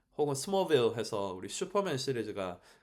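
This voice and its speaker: Fairly quick in pace, a man speaks with very wide pitch swings. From South Korea. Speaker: language teacher. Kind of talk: solo podcast monologue. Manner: formal; hesitant with many fillers.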